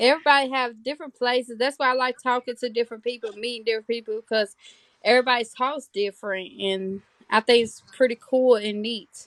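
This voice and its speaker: In a dry, close sound with no echo, a woman with a Southern US accent speaks at a fairly quick pace and a high pitch, with fairly even intonation. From Tennessee, near Georgia. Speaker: mother livestreamer. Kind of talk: casual chat.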